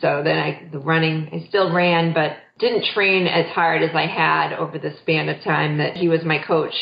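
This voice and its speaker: A woman's very deep, low pitch carries vocal fry as she talks at a fairly slow pace. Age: 40s. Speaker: marathon runner and mother. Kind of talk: interview.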